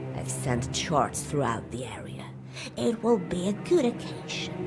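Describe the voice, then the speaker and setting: Loud background noise runs under the speech. The speaker uses a put-on character voice. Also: moderate pace. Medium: game stream. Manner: commanding, sly.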